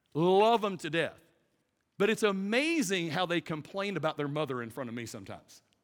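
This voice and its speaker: A man's high-pitched, animated voice in a Southern US accent, at a fairly quick pace with lively intonation and big swings in loudness. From US South. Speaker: pastor. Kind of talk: sermon. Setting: stage with audience.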